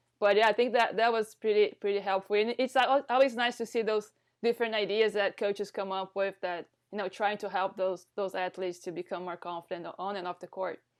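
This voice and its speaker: Over a quiet background, a woman with a non-native accent speaks at a fairly quick pace, with a medium pitch and fairly even intonation. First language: not English. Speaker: volleyball coach, podcast host. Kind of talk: casual interview chat. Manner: halting, repeats words.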